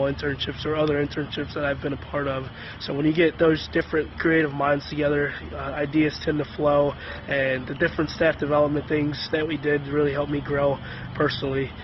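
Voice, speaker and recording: With noticeable background noise behind him, a man talks at a moderate pace. His fairly high voice has monotone, flat intonation. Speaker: strength and conditioning coach. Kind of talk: testimony. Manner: soft-spoken; halting.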